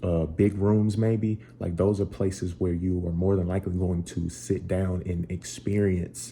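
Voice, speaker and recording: Slow-paced and somewhat breathy, a man speaks with a very deep, low pitch, a dark, mellow tone and ordinary pitch variation. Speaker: musician and tutorial creator. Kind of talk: tutorial. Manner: casual.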